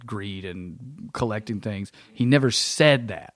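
A man is talking. His pitch sits fairly low and moves in an ordinary way. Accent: East Tennessee. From East Tennessee, US South. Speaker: stand-up comic.

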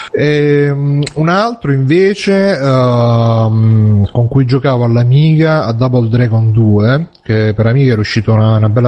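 A man talks at a fairly slow pace and medium pitch, with ordinary pitch variation. His loudness stays very even over noticeable background noise. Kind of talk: casual chat.

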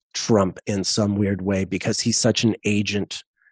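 A man at a fairly slow pace, with a dry, close sound and no echo. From Canada, Montreal. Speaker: astrologer. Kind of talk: casual chat. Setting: video call.

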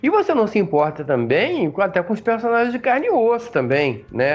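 The man talks at a moderate pace, his pitch swinging very widely. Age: 50s. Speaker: podcast co-host. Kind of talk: casual chat. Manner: halting.

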